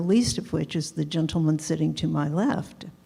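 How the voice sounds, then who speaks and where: A woman's fairly low voice in an American accent, with ordinary pitch variation over noticeable background noise. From US South, Mississippi. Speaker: retired pastor. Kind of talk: life story talk to an audience.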